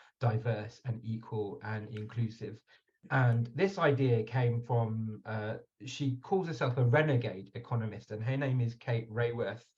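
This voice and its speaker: In a British accent, a man speaks at a moderate pace with a medium pitch, fairly even intonation and a somewhat breathy quality. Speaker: webinar moderator. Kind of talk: online panel discussion. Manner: hesitant, with fillers.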